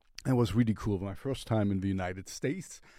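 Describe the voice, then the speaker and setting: Lively intonation marks this man's German accent. His fairly low pitch has a dark, mellow tone in a very clean recording with a silent background. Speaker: music reviewer. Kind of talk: casual music review. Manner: halting.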